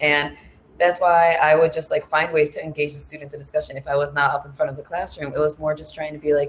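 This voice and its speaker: Her intonation is flat and monotone. The woman's voice is very deep and low for a woman. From United States. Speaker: former English teaching assistant abroad. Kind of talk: panel discussion. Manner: fast.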